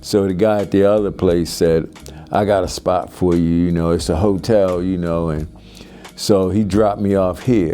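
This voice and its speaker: A man with a Baltimore accent speaks at a moderate pace in a very deep, low pitch, with music in the background. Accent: Baltimore American. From US, Baltimore. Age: 60s. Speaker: military veteran in recovery. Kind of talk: testimony. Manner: halting.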